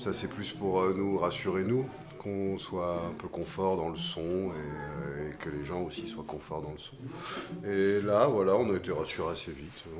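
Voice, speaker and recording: A man speaks at a fairly slow pace with a very deep, low pitch and ordinary pitch variation. Audible room echo and noticeable background noise accompany him. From western France, island off Vendée. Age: 40s. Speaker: singer-songwriter. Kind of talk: post-concert interview. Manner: hesitant, many filler sounds.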